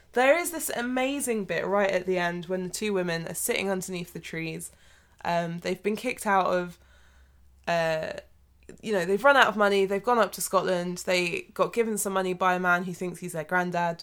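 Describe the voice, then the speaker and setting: On a very clean recording with a silent background, a woman with a British accent talks at a moderate pace and medium pitch with ordinary pitch variation. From Britain. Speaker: podcast co-host. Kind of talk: casual chat. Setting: home recording room.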